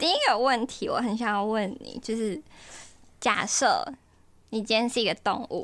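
Lively intonation from a woman at a fairly high pitch, paced moderately. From Taiwan, Taichung. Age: 20s. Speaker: dating show guest, university student. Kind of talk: casual chat.

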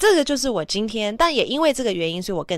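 A woman with an English accent uses lively intonation in a very clean recording with a silent background. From Taiwan. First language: English (speaking Chinese). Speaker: former news anchor, podcast host. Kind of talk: casual bilingual monologue. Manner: frequent Mandarin-English code-switching.

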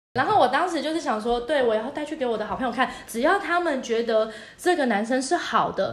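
In audible room echo, a woman talks at a fairly quick pace with lively intonation. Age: 30s. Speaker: podcast co-host. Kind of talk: casual chat.

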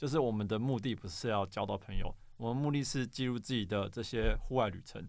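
At a fairly quick pace, a man speaks in an ordinary speaking voice at medium pitch. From Taiwan, New Taipei (Xinzhuang). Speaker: app startup co-founder, former engineer. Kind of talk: casual interview.

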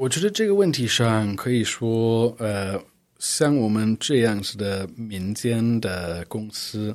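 On a very clean recording with a silent background, a man with a non-native accent speaks very slowly at a medium pitch with ordinary pitch variation. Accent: fluent Mandarin, non-native. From United States. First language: English (speaking Chinese). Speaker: art fair director. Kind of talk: interview. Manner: frequent hesitations (呃).

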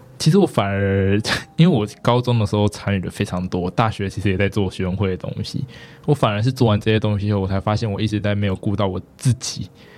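A man rattles along at a very fast pace with ordinary pitch variation. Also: fairly low pitch for a man. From Taiwan, Taipei. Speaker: student union president. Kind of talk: interview.

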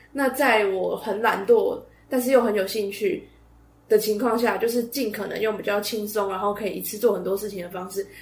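A woman with a fairly high voice speaks fairly quickly as noticeable noise sounds behind her. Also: fairly even intonation. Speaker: podcast host. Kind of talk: casual monologue.

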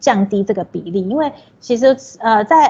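This woman talks at a moderate pace with lively intonation and a dark, mellow tone. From Taiwan, Taipei. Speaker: social worker. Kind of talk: interview.

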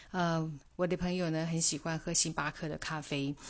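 A woman's very deep, low voice at a moderate pace. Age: 50s. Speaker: podcast host. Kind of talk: solo podcast monologue. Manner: halting, many fillers.

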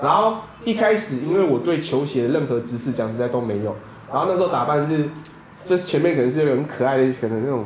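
A man with a fairly high pitch and lively intonation talks at a very fast pace over noticeable background noise and audible room echo. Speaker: podcast co-host. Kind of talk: casual chat.

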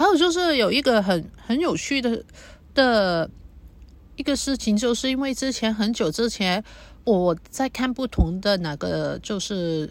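A woman's fairly high voice makes very wide pitch swings in a very clean recording with a silent background. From Hong Kong. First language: Cantonese (speaking Chinese). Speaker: podcaster. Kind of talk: personal monologue. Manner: halting.

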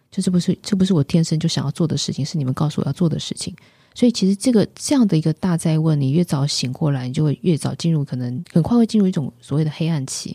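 A woman speaks very fast with hardly any pauses, in a fairly low pitch with ordinary pitch variation. Her tone is dark, mellow and somewhat breathy, with a dry, close sound and no echo. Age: 50s. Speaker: spiritual author and teacher. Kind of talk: interview.

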